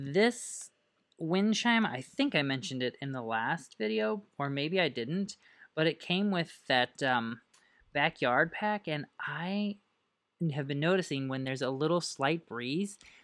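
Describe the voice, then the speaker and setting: A woman speaks with a very deep, low pitch and lively intonation at a fairly slow pace. The recording is very clean, with a silent background. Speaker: gaming youtuber. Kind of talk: casual gameplay commentary. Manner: relaxed, chatty.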